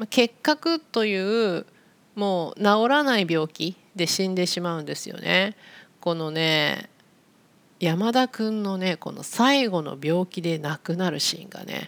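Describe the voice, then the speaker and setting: Her plain, everyday voice sits at medium pitch, with lively intonation and big swings in loudness as the woman speaks at a fairly slow pace. The sound is dry and close, with no echo. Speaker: Japanese language teacher podcaster. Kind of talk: casual educational monologue for learners. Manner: slow, clear with simple explanations.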